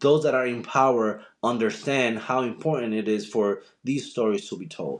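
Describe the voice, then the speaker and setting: This man speaks with a Dominican accent at a medium pitch. His pace is moderate and his pitch variation ordinary. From Dominican Republic. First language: Spanish. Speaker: journalist and TV host. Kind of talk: podcast interview. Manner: halting, frequent repetitions.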